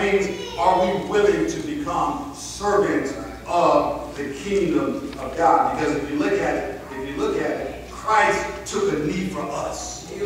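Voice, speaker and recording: Very slow male speech with strong room echo and noticeable background noise. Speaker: preacher. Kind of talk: sermon. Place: church.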